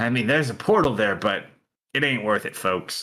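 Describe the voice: A man puts on a husky character voice at medium pitch, speaking at a moderate pace.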